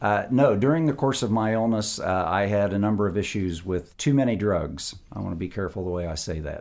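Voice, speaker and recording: A man with an American accent talks at a fairly quick pace and a fairly low pitch, with lively intonation and hardly any pauses. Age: 60s. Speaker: kidney transplant patient. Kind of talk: interview. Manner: halting, many fillers.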